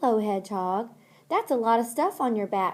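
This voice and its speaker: A woman's put-on character voice, croaky and fairly high, at a moderate pace, in a very clean recording with a silent background. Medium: read story.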